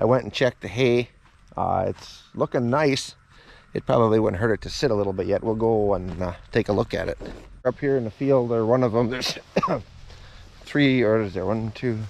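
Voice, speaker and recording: Light background noise sits under a dry sound with no echo. A man talks at a fairly quick pace with ordinary pitch variation. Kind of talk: casual vlog chat. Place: farm machine. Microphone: phone near.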